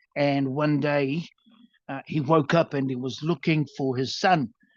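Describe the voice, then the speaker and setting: Someone speaks with a New Zealand accent against a quiet background. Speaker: storytelling workshop presenter. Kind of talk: workshop talk. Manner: halting.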